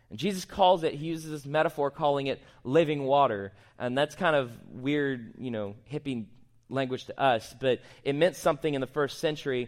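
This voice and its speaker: A man with a normal speaking voice talks at a fairly high pitch and a moderate pace, with ordinary pitch variation. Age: 20s. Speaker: worship pastor. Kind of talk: sermon.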